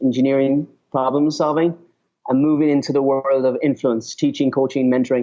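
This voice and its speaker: At a fairly quick pace, a man with a fairly high pitch speaks in a flat monotone at very even loudness. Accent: Irish. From Ireland. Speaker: author and speaker on leadership. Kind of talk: interview. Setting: call.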